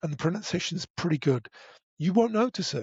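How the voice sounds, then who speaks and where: Lively intonation carries a man's voice. His pitch is high. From northern England, Derbyshire. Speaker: broadcaster and podcast voice. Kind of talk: casual chat. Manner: hesitant, many restarts.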